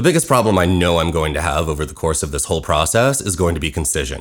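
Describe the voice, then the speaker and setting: Very fast and lively in intonation, a man speaks with a very deep, low pitch and vocal fry. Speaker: musical writer and podcast host. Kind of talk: scripted narration, personal storytelling. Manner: talks too fast.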